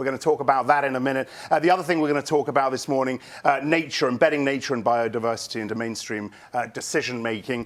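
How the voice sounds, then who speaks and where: Over noticeable background noise, a man at a medium pitch talks very fast with ordinary pitch variation. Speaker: moderator of live panel show. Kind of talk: live panel moderation. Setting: studio at a conference.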